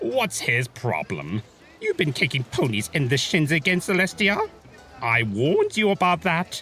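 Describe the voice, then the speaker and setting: Over clear music in the background, a man uses a put-on character voice with fairly high pitch at a moderate pace. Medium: read story. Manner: theatrical, sarcastic, smug.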